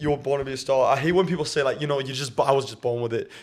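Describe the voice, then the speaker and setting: With a northeast English accent, a man talks at a very fast pace with ordinary pitch variation. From northeast England, County Durham. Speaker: singer, talent show finalist. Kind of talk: casual chat.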